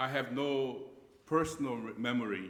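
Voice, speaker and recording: A man's medium-pitched, fairly slow speech in audible room echo. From Japan. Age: 70s. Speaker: pastor. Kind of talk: lecture. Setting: church. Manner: halting.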